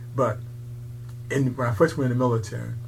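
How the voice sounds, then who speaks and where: Speaking with an American accent, a man sounds somewhat breathy. His intonation is monotone and flat, and his pace is fairly quick. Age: 80s+. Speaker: museum owner, military veteran. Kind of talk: casual interview, storytelling. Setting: recorded interview, low audio quality.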